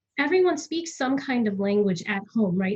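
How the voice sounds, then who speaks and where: The speaker talks at a fairly quick pace in a somewhat breathy voice with an American accent. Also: woman. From US South, Florida (near Tampa). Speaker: actor. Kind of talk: casual chat.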